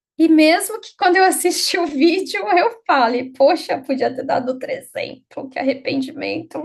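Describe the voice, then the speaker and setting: A woman speaks with lively intonation. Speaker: psychologist and lecturer. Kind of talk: live workshop lecture. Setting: live online workshop. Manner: fast.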